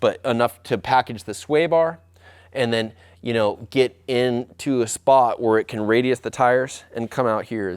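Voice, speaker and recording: At a moderate pace, a man speaks in a medium pitch with fairly even intonation, recorded very cleanly against a silent background. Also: dry, close sound with no echo. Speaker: custom vehicle fabricator and designer. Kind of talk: workshop build tutorial. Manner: halting, many fillers.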